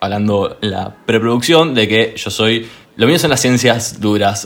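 Using a normal speaking voice, a man talks at a fairly slow pace with a medium pitch and ordinary pitch variation. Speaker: podcast guest. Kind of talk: casual chat.

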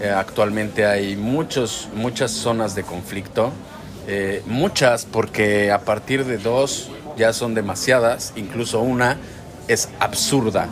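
A man's medium-pitched voice at a very slow pace, fairly even in intonation, with noticeable background noise. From Mexico. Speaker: podcast co-host, vlogger. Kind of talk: casual chat.

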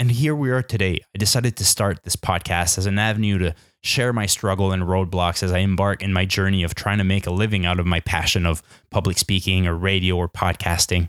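A man with a Canadian accent speaks at a fairly quick pace with a very deep, low pitch, fairly even intonation and very even loudness. The recording is very clean with a silent background, and the sound is dry and close with no echo. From New Brunswick, Canada. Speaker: podcast host, engineer. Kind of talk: solo podcast monologue.

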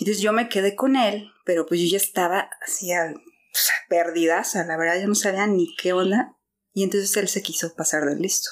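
In a normal speaking voice, a woman talks at a moderate pace and medium pitch, with ordinary pitch variation and very even loudness. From Guadalajara, Mexico. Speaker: church member. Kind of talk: testimony.

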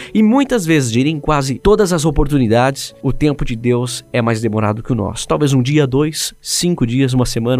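A man speaks in a normal speaking voice at medium pitch, with ordinary pitch variation. His pace is moderate, with hardly any pauses. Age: 20s. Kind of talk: devotional monologue.

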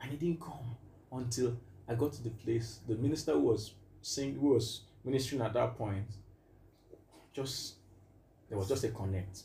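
This man's medium-pitched voice has a dark, mellow tone with vocal fry, ordinary pitch variation and a moderate pace broken by long, frequent pauses. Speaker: music producer and minister. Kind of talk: casual interview.

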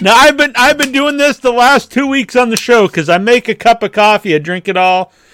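A man talks loudly at a fairly quick pace with lively intonation. His voice is extremely high-pitched, with a bright, sharp tone. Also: dry, close sound with no echo. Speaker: podcast host. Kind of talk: casual chat.

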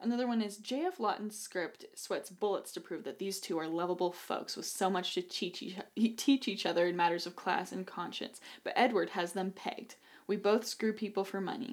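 A woman uses a plain, everyday voice with an American accent. She speaks at a medium pitch and moderate pace, with ordinary pitch variation. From Idaho. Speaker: podcast co-host. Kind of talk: casual chat.

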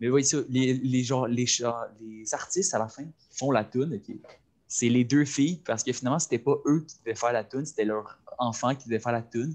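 Delivered at a moderate pace with ordinary pitch variation, the voice has a Quebec accent. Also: man, medium pitch for a man. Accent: Québécois French. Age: young. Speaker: cégep student, podcast co-host. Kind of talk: casual chat.

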